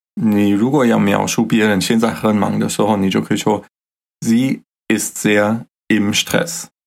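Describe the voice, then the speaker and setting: A man with a fairly low pitch, ordinary pitch variation, very even loudness and a fairly slow pace. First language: German (speaking Chinese). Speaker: podcast co-host teaching German. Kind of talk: language lesson chat.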